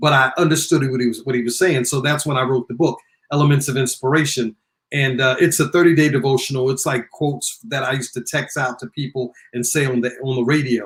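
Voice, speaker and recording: A man talks at a very fast pace in a somewhat breathy voice of medium pitch. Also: fairly even intonation. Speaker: radio personality, recording artist and author. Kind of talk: interview. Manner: sometimes very fast, stumbles over words.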